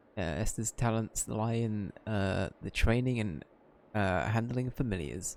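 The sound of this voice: Someone reads in an unforced voice.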